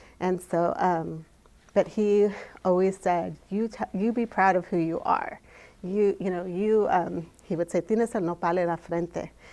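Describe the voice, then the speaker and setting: A woman at a medium pitch with a Spanish accent, a dark, mellow tone and fairly even intonation. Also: fairly slow pace. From Mexico, raised in California. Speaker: storyteller. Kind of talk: personal storytelling. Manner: halting, many fillers.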